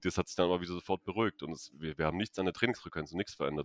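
A man's very deep, low pitch with ordinary pitch variation, in a dry, close sound with no echo. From Stuttgart, southwest Germany. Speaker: physiotherapist and doctor. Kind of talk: interview.

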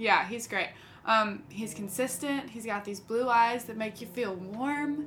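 A woman's fairly high voice at a fairly slow pace, with ordinary pitch variation, big swings in loudness, audible room echo, and noticeable background noise. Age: 20s. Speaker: singer-songwriter. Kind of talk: casual chat.

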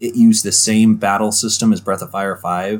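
The man's voice sits at a fairly low pitch and has an animated tone. He talks at a moderate pace. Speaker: gaming podcast co-host. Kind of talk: casual chat. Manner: joking, animated.

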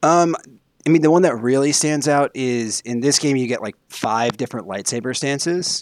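A man with a normal speaking voice talks at a fairly high pitch and a moderate pace with ordinary pitch variation, in a dry, close sound with no echo on a very clean recording with a silent background. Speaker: guest, PR professional. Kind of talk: casual podcast chat.

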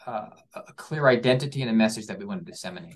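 A man talks at a medium pitch with a Philadelphia accent. His intonation is lively. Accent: Philadelphia-area American. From US Northeast, Philadelphia suburbs. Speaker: orchestra programming executive. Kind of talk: interview. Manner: halting, many fillers and repetitions.

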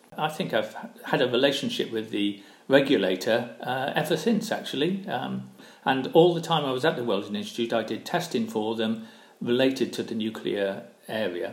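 Lively intonation at a moderate pace, in a Welsh accent. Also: man, medium pitch for a man. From South Wales (Barry). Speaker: retired engineer and professor. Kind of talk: interview.

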